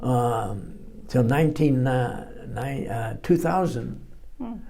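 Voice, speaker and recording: A man, very slow, with lively intonation amid noticeable background noise. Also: medium pitch for a man. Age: 80s+. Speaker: war veteran. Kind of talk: interview answer.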